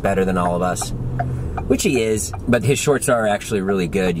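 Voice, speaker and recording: A man speaks at a middling speed against loud background noise. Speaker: vlogger. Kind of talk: casual vlog chat. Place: car. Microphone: phone near.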